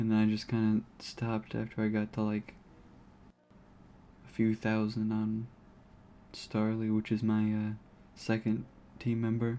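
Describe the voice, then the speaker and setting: Slow-paced and fairly low, a man's voice comes out dark and mellow in a monotone, flat line, broken by long, frequent pauses. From United States. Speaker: video game streamer. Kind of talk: casual gaming livestream commentary.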